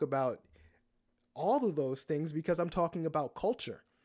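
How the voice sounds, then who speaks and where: This man has an ordinary speaking voice, fairly high in pitch with ordinary pitch variation, talking at a moderate pace in a very clean recording with a silent background. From US, Baltimore. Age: 40s. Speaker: diversity trainer. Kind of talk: interview conversation.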